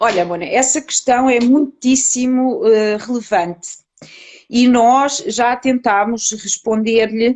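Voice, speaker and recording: With a European Portuguese accent, a woman at a high pitch speaks at a very slow pace with ordinary pitch variation. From Portugal. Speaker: psychologist researcher. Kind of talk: online interview. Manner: hesitant with many fillers.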